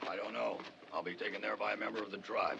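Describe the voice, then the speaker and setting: A man puts on a raspy character voice and talks at a very fast pace against clear background noise. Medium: short film. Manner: sly, amused, chuckling.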